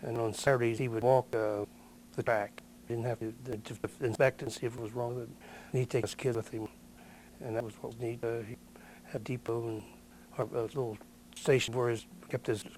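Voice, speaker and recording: A man with a Midwestern American accent, medium in pitch, monotone and flat, fairly quick yet with long, frequent pauses. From Ohio, West Chester area. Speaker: local elder, oral history interviewee. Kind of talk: oral history interview. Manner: halting.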